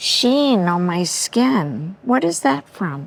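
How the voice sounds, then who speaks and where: Her pitch swings very widely as she talks with an American accent. The woman's pace is very slow. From New York City. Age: 80s+. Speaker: makeover guest. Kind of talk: casual chat. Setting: studio. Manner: animated.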